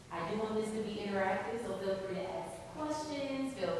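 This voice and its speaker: A woman talks at a moderate pace with lively intonation, amid noticeable background noise and audible room echo. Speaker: licensed professional counselor. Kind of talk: presentation with guided breathing exercise. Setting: meeting room with audience, using a microphone. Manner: loud.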